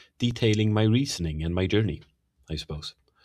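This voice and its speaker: A somewhat breathy man with ordinary pitch variation. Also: very clean recording, silent background. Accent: slight Swedish. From Sweden. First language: Swedish. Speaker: teacher and podcast host. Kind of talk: lecture-style monologue on theology. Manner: hesitant, frequent fillers.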